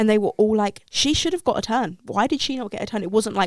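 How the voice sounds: A woman speaks at a fairly quick pace with a slightly mellow tone.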